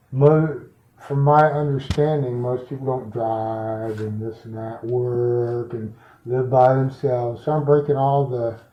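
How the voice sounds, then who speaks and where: A man mumbles at a fairly slow pace and medium pitch, his voice somewhat breathy. His intonation stays fairly even while his loudness swings widely. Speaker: client in intake interview. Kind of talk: intake interview. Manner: mumbling, slurred words.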